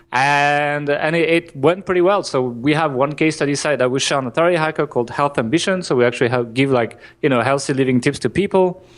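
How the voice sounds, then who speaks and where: A fairly high-pitched man with a French accent, very fast and with hardly any pauses, his loudness very even and his pitch variation ordinary. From France. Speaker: marketing entrepreneur. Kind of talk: podcast interview. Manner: halting, many restarts.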